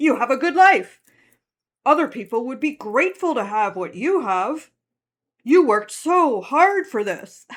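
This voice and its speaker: Pitched high, this is a put-on character voice. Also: moderate pace. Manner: scolding, guilt-tripping.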